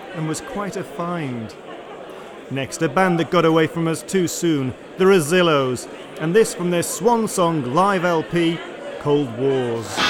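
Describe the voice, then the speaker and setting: High-pitched male voice with lively intonation at a fairly slow pace, amid noticeable background noise. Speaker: radio host. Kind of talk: radio DJ patter introducing live tracks. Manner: clear, even-paced, informal, with chuckles.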